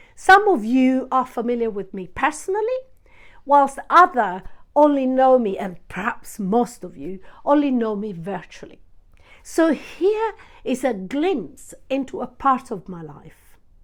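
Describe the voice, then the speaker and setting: Speaking with an Italian accent, a woman uses a high pitch. Her pitch swings very widely, and her pace is fairly slow. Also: big swings in loudness. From Sicily. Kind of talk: formal, polite.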